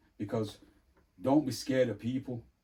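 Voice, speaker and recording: A man talks at a fairly quick pace in a medium-pitched, somewhat breathy voice with a dark, mellow tone and ordinary pitch variation. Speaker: sound system DJ and sales rep. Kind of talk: casual chat.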